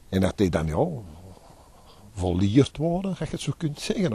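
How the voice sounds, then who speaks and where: Speaking fast with an Antwerp accent, a man uses very wide pitch swings in a dark, mellow, somewhat breathy tone, the sound dry with no echo. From Antwerp, Belgium. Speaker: dockworker and tour guide. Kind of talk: interview answer. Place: waterside. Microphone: handheld.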